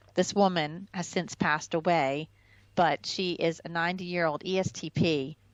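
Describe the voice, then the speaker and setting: At a moderate pace, a woman speaks in a normal speaking voice with fairly even intonation. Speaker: personality typology video host. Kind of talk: casual video commentary.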